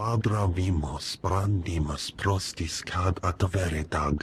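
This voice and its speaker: A man uses a put-on character voice with a very deep, low pitch at a fairly slow pace. Clear background noise is audible. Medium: video game.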